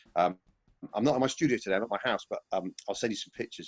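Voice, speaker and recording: A man speaks in a Yorkshire accent. His pace is very fast. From Yorkshire, northern England. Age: 40s. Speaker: session drummer. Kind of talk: casual interview. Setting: at home.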